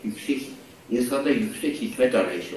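With audible room echo and light background noise, a man speaks at a fairly slow pace using very wide pitch swings. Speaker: university rector, psychiatry professor; psychiatry professor. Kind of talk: online conference lecture; lecture. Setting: video call with screen sharing. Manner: halting, many fillers. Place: hall. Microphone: podium.

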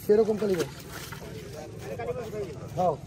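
Over faint background noise, a man speaks slowly at a high pitch with ordinary pitch variation and a dark, mellow tone.

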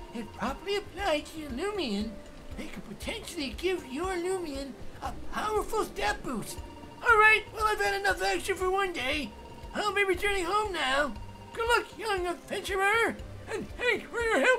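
Someone performs a put-on character voice at a moderate pace. Background noise is clear.

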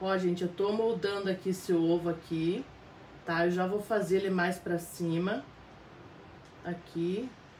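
Speaking at a fairly slow pace with long, frequent pauses, a woman's somewhat breathy voice keeps very even loudness and fairly even intonation over light background noise. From Paraná, southern Brazil. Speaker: fabric painting teacher. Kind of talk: live painting tutorial; tutorial while painting, live stream chat. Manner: warm, chatty, frequent tá?. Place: home room. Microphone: phone near.

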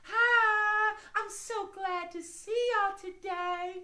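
A female-sounding put-on character voice sits at an extremely high pitch. It moves at a very slow pace. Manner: cheerful, friendly, cute.

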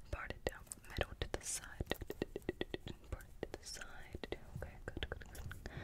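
Soft-spoken and whispering, the voice moves at a fairly slow pace. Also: woman. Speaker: ASMR roleplay host. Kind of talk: soft-spoken roleplay whisper talk. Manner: soft close-mic ASMR whisper. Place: home room. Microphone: studio mic.

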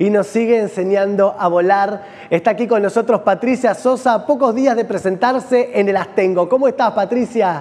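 A man speaks with high pitch and ordinary pitch variation. His pace is moderate. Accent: Rioplatense. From Argentina. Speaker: TV host. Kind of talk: TV interview. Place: studio. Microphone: lapel.

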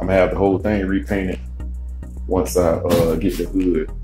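At a moderate pace, a man talks while faint music plays behind him. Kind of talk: casual vlog chat. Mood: relaxed. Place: street. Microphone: phone near.

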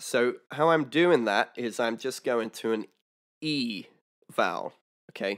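A man speaks at a very slow pace in a quiet background. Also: medium pitch for a man, ordinary pitch variation. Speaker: harmonica teacher. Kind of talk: tutorial. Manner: casual, explanatory. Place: home room. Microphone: studio mic.

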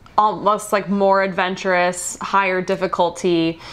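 A woman speaks here. Her tone is bright and sharp. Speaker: travel vlogger. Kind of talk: casual vlog chat. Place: home room. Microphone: lapel.

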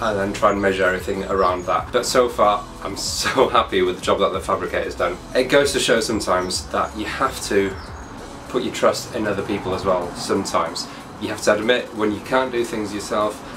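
The man's fairly quick speech runs over background music. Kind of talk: casual vlog chat. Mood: pleased, enthusiastic. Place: workshop.

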